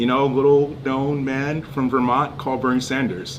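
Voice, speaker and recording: A man at medium pitch and a fairly quick pace, with audible room echo and noticeable background noise. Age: 40s. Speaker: political candidate. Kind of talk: casual interview. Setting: in-person livestream. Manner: animated.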